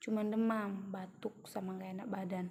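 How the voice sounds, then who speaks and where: Somewhat breathy, a woman of medium pitch talks at a moderate pace. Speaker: vlogger. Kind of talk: personal testimony. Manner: halting, many fillers.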